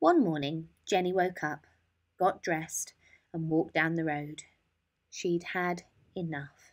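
A woman talks at a slow pace. Her tone is fairly bright.

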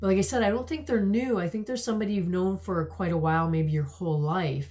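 A woman speaks at a fairly low pitch in a dark, mellow tone that is somewhat breathy. Her pitch variation is ordinary. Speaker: tarot card reader. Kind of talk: intuitive tarot reading to camera. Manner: hesitant, many filler words. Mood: warm, gentle, reflective. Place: home room.

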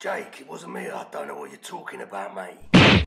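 A raspy-voiced man speaks at a moderate pace with big swings in loudness. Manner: smug, mocking.

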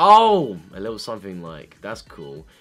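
A man's voice with very wide pitch swings over faint music in the background. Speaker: YouTuber, K-pop reactor. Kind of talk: casual reaction commentary. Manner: fast-talking. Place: home room. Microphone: webcam.

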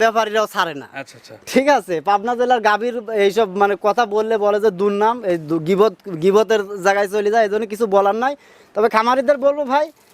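A man speaks with a high pitch. The variation in his pitch is ordinary. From Bangladesh, Pabna district. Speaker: dairy cattle trader and farm owner. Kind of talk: casual interview.

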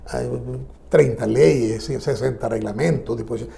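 Here a man speaks at a very slow pace. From Nicaragua. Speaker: social security expert; guest. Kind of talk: news interview. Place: studio. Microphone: lapel.

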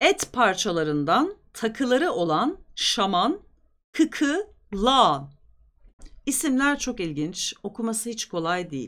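A woman speaks slowly in a fairly high, fairly bright voice with big pitch swings, on a very clean recording with a silent background.

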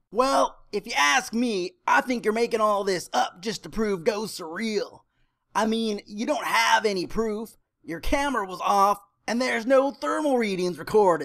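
Cartoonish character voice, fairly high in pitch, at a moderate pace. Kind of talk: comic cartoon acting. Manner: snarky, dismissive.

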